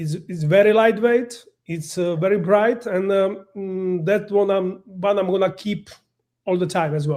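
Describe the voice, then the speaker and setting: Using fairly even intonation, a man talks in a high pitch with a non-native accent. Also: fairly slow pace. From Slovakia. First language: Slovak. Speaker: professional photographer. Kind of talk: presentation. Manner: halting.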